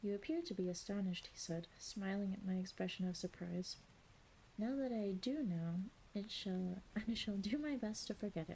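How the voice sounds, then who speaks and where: A woman speaks at a moderate pace in a medium pitch, her dark, mellow tone somewhat breathy, with ordinary pitch variation. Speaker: streamer / ASMR reader. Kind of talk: ASMR audiobook reading of a classic novel. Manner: soft, calm reading voice.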